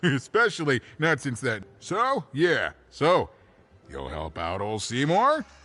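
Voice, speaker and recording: Using a put-on character voice, a man talks at a fairly slow pace with fairly high pitch against a quiet background. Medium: video game. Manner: rambling, good-natured, halting.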